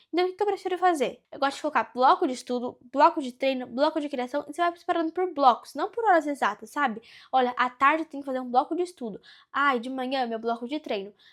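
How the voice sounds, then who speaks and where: Animated and lively in intonation, a woman talks at a very fast pace in a high-pitched voice. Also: very clean recording, silent background. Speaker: youtuber. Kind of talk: tutorial.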